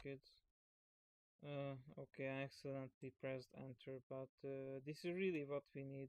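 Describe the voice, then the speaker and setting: A man with a Hungarian accent talks fairly slowly in a flat monotone, the sound dry and close with no echo. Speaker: programming YouTuber. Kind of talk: tutorial. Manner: halting; casual.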